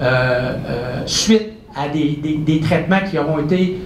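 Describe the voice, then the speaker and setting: The pitch variation of this man's voice is ordinary. Audible room echo and noticeable background noise come through. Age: 60s. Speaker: professor and researcher. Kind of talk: public lecture. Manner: animated.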